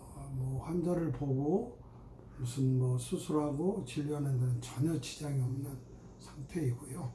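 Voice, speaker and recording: A man's fairly high, somewhat breathy voice at a fairly slow pace, with ordinary pitch variation and audible room echo. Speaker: gynecologist. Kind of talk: medical explainer talk. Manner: casual with fillers.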